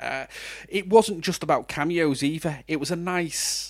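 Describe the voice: A man with a fairly high pitch, a fairly slow pace and ordinary pitch variation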